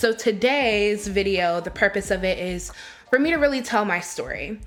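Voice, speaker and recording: A woman's normal speaking voice at a moderate pace, medium in pitch, with lively intonation. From Charlottesville, Virginia, US South. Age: 20s. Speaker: activist and organizer. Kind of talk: unedited personal reflection to camera.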